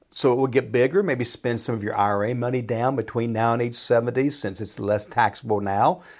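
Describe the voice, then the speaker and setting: At a fairly quick pace, a man with a plain, everyday voice speaks at medium pitch with ordinary pitch variation on a very clean recording with a silent background. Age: 60s. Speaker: financial advisor. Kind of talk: casual chat.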